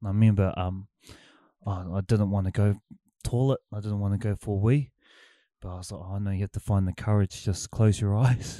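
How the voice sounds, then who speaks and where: Long, frequent pauses break up this man's fairly low, dark, mellow voice with a New Zealand accent. The recording is very clean with a silent background. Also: fairly even intonation, fairly quick pace, dry, close sound with no echo. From New Zealand, Picton. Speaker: forklift driver. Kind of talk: casual chat.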